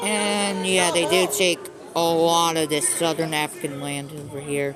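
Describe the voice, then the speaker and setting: Fairly slow speech over music in the background. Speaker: mapping video narrator. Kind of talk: video commentary. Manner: stutters, halting; casual, filler-heavy.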